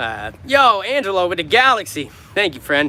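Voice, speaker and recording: Noticeable background noise runs behind a man talking with an American accent. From New York. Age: 30s. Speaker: street musician. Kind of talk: livestream chat with viewers.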